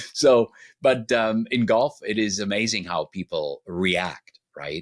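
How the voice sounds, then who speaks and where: A man's fairly low voice with a German accent, dry and close with no echo. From Germany. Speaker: relationship expert. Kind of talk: interview podcast.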